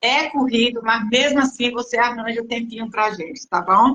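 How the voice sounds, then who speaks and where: Her voice is high-pitched and her intonation fairly even. The woman talks at a moderate pace. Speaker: patient group host. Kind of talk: live stream interview. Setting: online live stream. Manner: relaxed.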